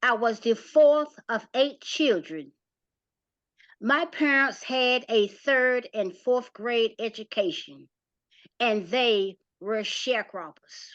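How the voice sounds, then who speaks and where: With a North Carolina accent, a woman speaks at a high pitch and a very slow pace, her intonation lively. The background is quiet. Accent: Southern US (North Carolina). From US South, rural North Carolina. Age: 70s. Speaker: community playwright and former nonprofit director. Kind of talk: prepared testimony talk.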